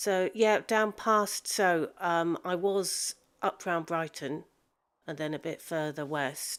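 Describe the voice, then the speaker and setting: A woman speaks at a very slow pace and a fairly low pitch, with ordinary pitch variation. The recording is very clean, with a silent background. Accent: South Coast English. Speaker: gaming streamer. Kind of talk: live gameplay stream. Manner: halting.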